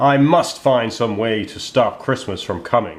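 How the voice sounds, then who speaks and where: A man growls through a put-on character voice at a medium pitch and a moderate pace. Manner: growling, snarling.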